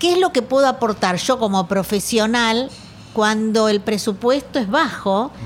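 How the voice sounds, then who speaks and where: In a normal speaking voice, a woman talks at a fairly slow pace with a fairly high pitch, lively intonation and very even loudness. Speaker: podcast host, architect. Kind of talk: casual interview chat. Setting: café patio.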